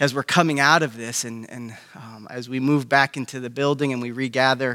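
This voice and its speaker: This man's bright, sharp voice sits at a medium pitch and moves at a moderate pace, the sound dry and close with no echo. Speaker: pastor. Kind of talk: fervent prayer, earnest and devotional, addressed to God. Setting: church gathering, online. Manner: heartfelt, sincere and reverent; halting, with frequent fillers and repeated words.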